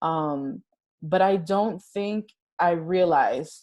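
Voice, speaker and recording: In a Spanish accent, a woman with a fairly low voice speaks with lively intonation against a quiet background. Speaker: interview guest. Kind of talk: casual interview.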